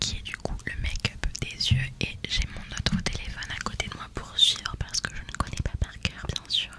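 A woman whispering with hardly any pauses. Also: moderate pace. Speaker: makeup content creator. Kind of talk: soft casual tutorial chat. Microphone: studio mic.

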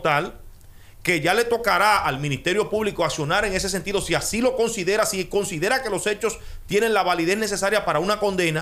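A man talks at a fairly quick pace in a high-pitched voice. His voice is raised and projected. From Dominican Republic. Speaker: radio host. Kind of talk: radio interview. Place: studio. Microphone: studio mic.

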